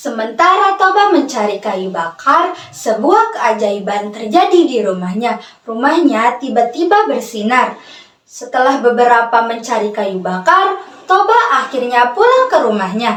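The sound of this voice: Speaking fairly slowly in a fairly high, fairly bright voice with big pitch swings, a woman is heard with audible room echo.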